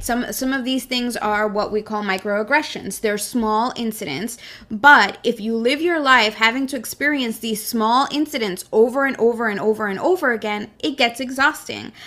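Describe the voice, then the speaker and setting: In an ordinary speaking voice, a woman talks at a moderate pace with hardly any pauses, a fairly high pitch and ordinary pitch variation. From US, Brooklyn, New York, Mexican immigrant family. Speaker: podcast co-host. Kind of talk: casual chat.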